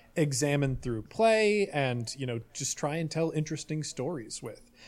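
On a very clean recording with a silent background, a man with a fairly high pitch and a normal speaking voice uses lively intonation. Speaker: roleplay podcaster. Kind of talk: casual chat.

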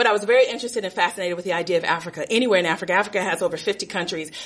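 The speaker is a woman. Her pitch is medium. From Los Angeles, US. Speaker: storyteller. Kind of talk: live storytelling.

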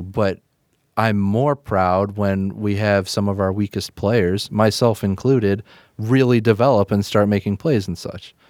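Recorded very cleanly against a silent background, the speaker uses ordinary pitch variation with a Midwestern accent. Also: man. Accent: general Midwestern American.

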